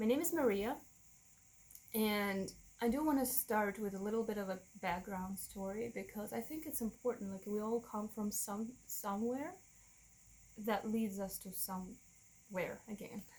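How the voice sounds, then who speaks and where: A woman at a moderate pace, with a Russian accent. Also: fairly high pitch for a woman, ordinary pitch variation. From Russia, Moscow. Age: 30s. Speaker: vlogger. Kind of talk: personal testimony. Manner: halting.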